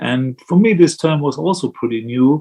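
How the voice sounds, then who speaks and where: A man with a German accent, fairly high pitch, lively intonation and a fairly slow pace. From Germany. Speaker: Buddhist monk. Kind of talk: dharma talk. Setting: video call.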